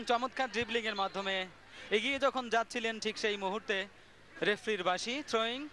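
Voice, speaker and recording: A man's high-pitched voice, bright and sharp in tone, is raised and projected with fairly even intonation. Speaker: football commentator. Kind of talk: live football match commentary.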